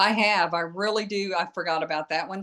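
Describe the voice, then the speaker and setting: A woman speaks in an American accent with a bright, sharp tone and ordinary pitch variation. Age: 70s. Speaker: skincare product seller. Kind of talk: casual chat.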